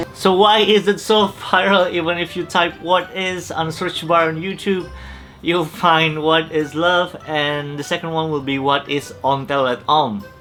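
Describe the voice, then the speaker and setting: A man with an Indonesian accent at a moderate pace, fairly high in pitch with ordinary pitch variation, with music in the background. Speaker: YouTuber. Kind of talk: explainer vlog talk to camera. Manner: casual, joking.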